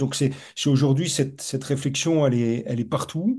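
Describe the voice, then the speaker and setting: A man talks at a fairly quick pace in a dark, mellow tone. His pitch varies in an ordinary way. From north-east France, Lorraine. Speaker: professor, urban researcher. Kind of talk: webinar discussion. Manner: halting, many repetitions and fillers.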